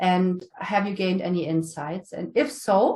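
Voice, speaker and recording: A woman's voice is heard. Its pitch moves in an ordinary way. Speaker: management consultant. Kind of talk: conference Q&A. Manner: hesitant with fillers.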